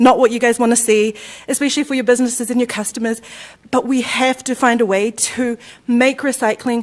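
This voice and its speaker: A woman speaks at a high pitch and a fairly quick pace. Her intonation stays flat and monotone. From New Zealand. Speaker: resident speaking at public comment. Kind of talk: public comment at council meeting. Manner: halting.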